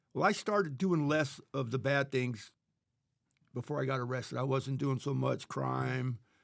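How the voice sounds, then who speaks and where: Using an ordinary speaking voice with an American accent, a man talks at a moderate pace and medium pitch with ordinary pitch variation. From California. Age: 50s. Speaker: lead painter, former prisoner. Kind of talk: podcast interview answer.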